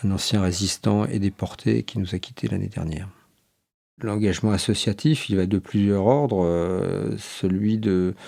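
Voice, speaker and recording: At a fairly slow pace, the voice carries a dark, mellow tone with ordinary pitch variation. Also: man, fairly low pitch for a man. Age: 60s. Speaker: former army officer, association president. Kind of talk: interview testimony. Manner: hesitant, many fillers.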